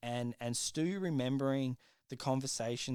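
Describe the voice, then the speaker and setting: A man with an Australian accent at a moderate pace, in a very clean recording with a silent background. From South Australia. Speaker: podcast co-host. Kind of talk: casual chat.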